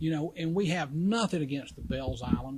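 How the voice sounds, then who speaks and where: Here a man talks. The variation in his pitch is ordinary. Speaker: public commenter at county meeting. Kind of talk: public comment. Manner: halting.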